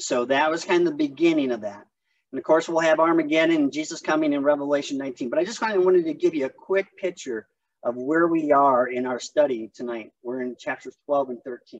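Against a quiet background, the speaker moves at a fairly quick pace. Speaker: Bible study teacher. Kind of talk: Bible study lesson. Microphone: video call.

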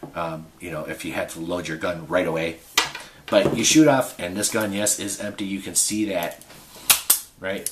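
In an American accent, the speaker goes at a moderate pace with ordinary pitch variation and big swings in loudness over noticeable background noise. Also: man, very deep, low pitch for a man. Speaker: gun reviewer vlogger. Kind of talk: unscripted product review video. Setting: home, alone, close to camera. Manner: halting, filler-heavy.

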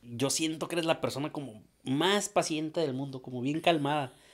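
A man with a normal speaking voice talks at a moderate pace against a quiet background. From Mexico. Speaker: podcast host. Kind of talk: casual interview. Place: studio. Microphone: studio mic.

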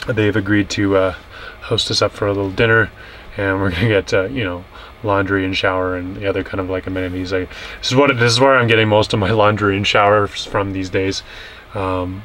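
A man's fairly low voice at a fairly quick pace, with fairly even intonation and light background noise. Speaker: travel vlogger. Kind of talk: casual vlog chat. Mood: relaxed, laughing. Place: car.

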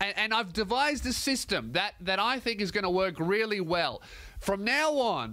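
Against a quiet background, a man projects a raised voice with a bright, sharp tone, moving at a moderate pace with ordinary pitch variation. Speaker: comedian podcast host. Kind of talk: comedic podcast monologue. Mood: mock-apologetic, joking. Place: studio. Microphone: studio mic.

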